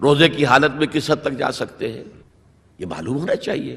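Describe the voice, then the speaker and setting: This man's voice has a bright, sharp tone and a fairly high pitch. Vocal fry runs through it. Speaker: Islamic scholar giving a lecture and answering audience questions. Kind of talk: religious lecture (bayan) in Urdu with English words mixed in. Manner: explanatory, lecture style.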